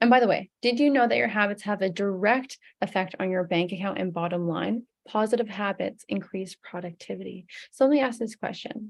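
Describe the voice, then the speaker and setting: Ordinary pitch variation at a fairly quick pace. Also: woman, medium pitch for a woman. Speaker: fitness coach. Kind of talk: sales pitch. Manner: fast.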